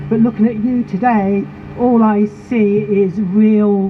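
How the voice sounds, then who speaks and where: Over noticeable background noise, a woman speaks at a very slow pace. Her pitch is medium and her loudness very even. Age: 70s. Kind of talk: protest speech. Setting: outdoor protest rally.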